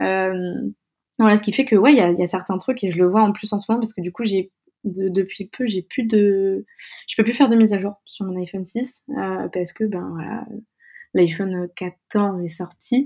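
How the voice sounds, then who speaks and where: Her dark, mellow tone sits at a medium pitch with ordinary pitch variation. The woman speaks at a moderate pace with long, frequent pauses. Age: 20s. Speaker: UX design student and founder of a media site. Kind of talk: interview. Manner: halting.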